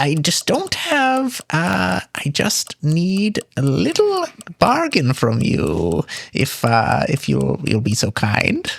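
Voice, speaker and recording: A man uses a put-on character voice. It sits at a fairly high pitch and moves at a very slow pace. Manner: wheedling, sly.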